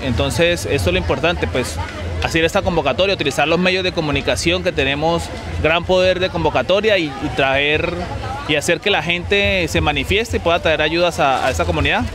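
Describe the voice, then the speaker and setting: Crowd noise fills the background, though the sound itself is dry with no echo. A man talks at a fairly quick pace with very even loudness and ordinary pitch variation. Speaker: interviewee. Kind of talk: interview answer. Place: stadium. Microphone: handheld.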